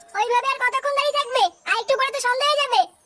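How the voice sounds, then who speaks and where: In a squeaky, cartoonish character voice with an extremely high pitch, a woman rattles along at a very fast pace with fairly even intonation. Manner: soft, coaxing.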